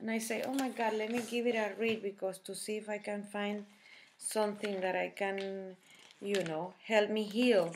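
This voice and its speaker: Speaking at a moderate pace with a Spanish accent, a woman uses monotone, flat intonation over light background noise. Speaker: health vlogger. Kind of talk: personal testimony and product tutorial. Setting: home video recording. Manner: halting, many fillers. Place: kitchen. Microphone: webcam.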